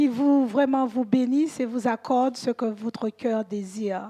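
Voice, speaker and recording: A woman with a high-pitched voice speaks at a very slow pace with ordinary pitch variation. The recording is very clean, with a silent background. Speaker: church elder and preacher. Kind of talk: church announcements; sermon. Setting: church.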